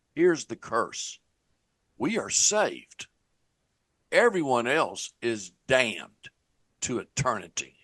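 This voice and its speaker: A man of medium pitch speaks at a very slow pace with vocal fry, very wide pitch swings and long, frequent pauses. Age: 60s. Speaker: former church evangelist. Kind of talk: lecture.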